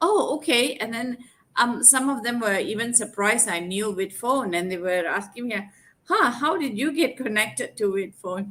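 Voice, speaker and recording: The intonation is lively throughout. It's a normal speaking voice moving at a moderate pace. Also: woman, fairly high pitch for a woman. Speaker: sales executive. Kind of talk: casual chat. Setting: video call.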